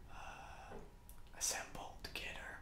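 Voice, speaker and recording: A man whispers at a very slow pace. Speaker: toy reviewer. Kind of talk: ASMR toy review and assembly. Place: home room.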